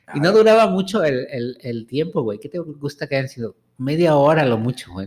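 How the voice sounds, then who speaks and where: A man has an unremarkable speaking voice at a fairly high pitch. His pace is moderate. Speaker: podcast co-host. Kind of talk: casual chat. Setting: studio.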